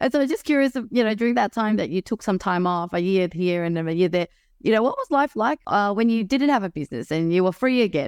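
A woman's very fast, medium-pitched voice in an Australian accent, lively in intonation with hardly any pauses, dry and close with no echo on a very clean recording with a silent background. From Melbourne, Australia. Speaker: podcast host. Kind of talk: interview.

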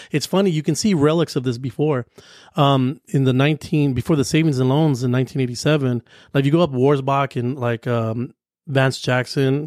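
An ordinary speaking voice from a man with an American accent, fairly high pitch, fairly even intonation and a fairly quick pace, dry and close with no echo, on a very clean recording with a silent background. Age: 40s. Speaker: commercial real estate broker. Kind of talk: casual chat.

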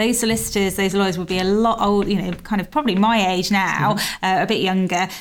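A woman at a medium pitch, very fast and with hardly any pauses, fairly even in intonation, amid noticeable background noise. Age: 40s. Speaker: podcast host, legal news editor. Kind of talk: interview.

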